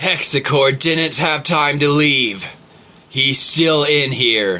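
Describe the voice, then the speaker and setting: Speaking very slowly, a man performs in a put-on character voice. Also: fairly high pitch for a man. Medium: read story. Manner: grave, intense.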